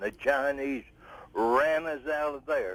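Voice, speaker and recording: Very slow speech from a man with a fairly high voice. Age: 80s+. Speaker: caller, Korean War veteran. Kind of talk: call-in comment.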